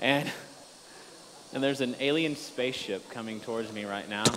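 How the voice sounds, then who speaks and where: A man with an American accent at a moderate pace, ordinary pitch variation, and noticeable background noise. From Washington, D.C., US. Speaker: email marketing speaker. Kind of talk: conference talk. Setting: stage with audience. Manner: casual, joking.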